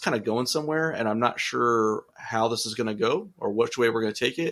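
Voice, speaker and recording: Here is a man with an American accent and an unremarkable speaking voice, medium in pitch. He talks at a fairly quick pace with ordinary pitch variation. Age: 40s. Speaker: city manager and podcaster. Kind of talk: casual interview chat.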